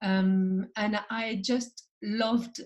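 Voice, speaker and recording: Somewhat breathy, this woman speaks with a French accent. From France. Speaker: entrepreneur and founder. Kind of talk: podcast interview. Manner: halting, many fillers.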